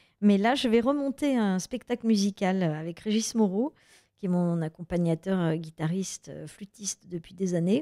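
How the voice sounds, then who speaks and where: Her voice sits at a medium pitch, with lively intonation and a dark, mellow tone, recorded dry and close with no echo. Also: moderate pace. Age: 50s. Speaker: actress and author. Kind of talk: radio interview. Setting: radio studio.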